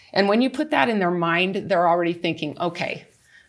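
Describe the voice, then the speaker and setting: A woman with a plain, everyday voice speaks at fairly low pitch, at a moderate pace, with ordinary pitch variation. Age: 60s. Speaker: wellness product consultant. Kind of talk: panel discussion.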